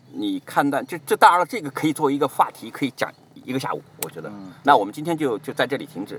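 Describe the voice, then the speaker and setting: Talking at a very fast pace, a man uses lively intonation with vocal fry. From Jiangsu, China. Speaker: immigrant guest. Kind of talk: casual chat.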